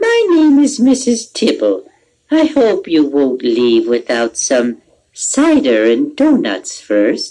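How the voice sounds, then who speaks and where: In a put-on character voice, the speaker talks at a very slow pace. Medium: read story. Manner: gentle, friendly.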